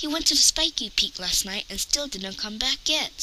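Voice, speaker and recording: Putting on a character voice, a woman speaks high at a moderate pace over clear background noise. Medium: read story. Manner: cheeky.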